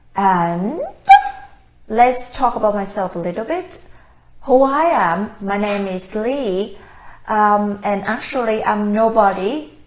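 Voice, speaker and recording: Speaking very slowly with a Vietnamese accent, a woman has a medium pitch. Long, frequent pauses break her speech, and room echo is audible. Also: ordinary pitch variation. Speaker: language-learning coach and mother. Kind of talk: casual talk to camera. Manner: hesitant, with fillers.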